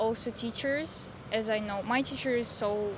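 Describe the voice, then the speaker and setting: A woman with a Russian accent talks at a fairly slow pace, her fairly high pitch held in fairly even intonation. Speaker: exchange student. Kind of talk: street interview. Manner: halting.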